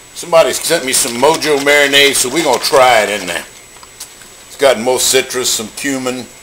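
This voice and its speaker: A man at a fairly quick pace, big swings in loudness, ordinary pitch variation and light background noise. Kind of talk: casual cooking tutorial. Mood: jokey, playful. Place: kitchen. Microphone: phone near.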